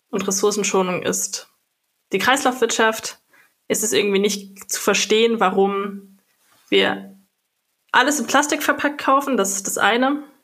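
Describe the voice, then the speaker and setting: Here a woman speaks at a fairly slow pace. Her medium pitch shows ordinary variation. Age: 20s. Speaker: politician. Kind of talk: interview answers.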